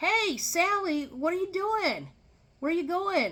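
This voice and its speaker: A woman's squeaky, put-on character voice at an extremely high pitch, raised and projected, with lively intonation and a fairly slow pace. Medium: solo performance. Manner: friendly, easygoing.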